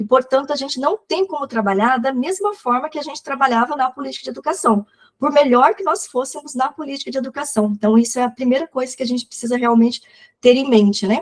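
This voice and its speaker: Talking at a very fast pace with big swings in loudness, a woman with a high voice and ordinary pitch variation sounds dry and close with no echo. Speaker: social service coordinator and educator. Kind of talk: online lecture.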